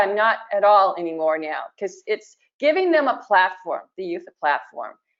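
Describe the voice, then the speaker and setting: At a medium pitch and a moderate pace, a woman talks in a normal speaking voice. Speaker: museum professional. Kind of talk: webinar panel discussion.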